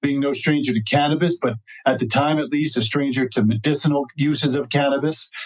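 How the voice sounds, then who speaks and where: Speaking at a fairly quick pace with a normal speaking voice, a man with an American accent keeps a fairly high pitch, fairly even intonation and very even loudness. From New Jersey, US. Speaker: cannabis lawyer. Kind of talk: podcast interview. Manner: frequent fillers (uh).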